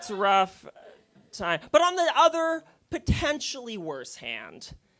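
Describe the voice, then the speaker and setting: A man's extremely high, bright, sharp voice in an animated tone, fairly slow, with very wide pitch swings and big swings in loudness. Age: 20s. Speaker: stand-up comedian. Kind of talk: stand-up. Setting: stage with audience.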